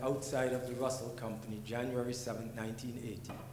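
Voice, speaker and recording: A man speaks at a fairly quick pace amid noticeable background noise and audible room echo. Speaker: business executive. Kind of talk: panel talk. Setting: stage with audience. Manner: casual, joking.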